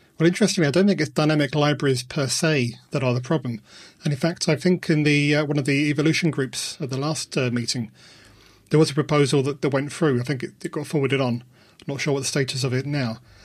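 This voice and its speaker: On a very clean recording with a silent background, a man speaks very fast in a fairly high, somewhat breathy voice with fairly even intonation. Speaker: podcast host. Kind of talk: casual podcast chat.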